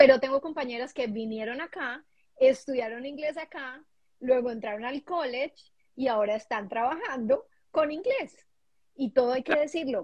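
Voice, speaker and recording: Her voice is high, and she is a woman speaking at a moderate pace. Her pitch varies in an ordinary way, while her loudness swings widely. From Colombia. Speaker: international graduate, HR worker. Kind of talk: casual chat.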